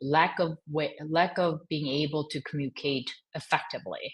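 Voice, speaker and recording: A woman speaks with a slight Korean accent in a very deep, low voice. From Korean American. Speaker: fashion executive. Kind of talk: podcast interview. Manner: halting.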